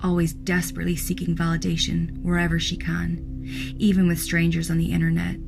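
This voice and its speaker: A woman speaks at a fairly quick pace while music plays in the background. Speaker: horror story narrator. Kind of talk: horror story narration.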